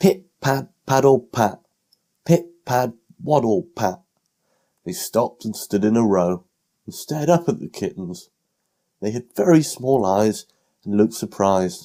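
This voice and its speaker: A man with a British accent, a dark, mellow tone and a medium pitch speaks at a fairly slow pace with very wide pitch swings, big swings in loudness and long, frequent pauses. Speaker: audiobook narrator. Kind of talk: children's bedtime story reading.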